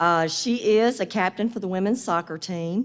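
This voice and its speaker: In a Southern US accent, a woman speaks at medium pitch with ordinary pitch variation on a very clean recording with a silent background. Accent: southern drawl. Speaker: business professor. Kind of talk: award presentation speech.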